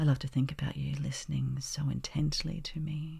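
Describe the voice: Vocal fry with a dark, mellow tone at a slow pace. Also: woman.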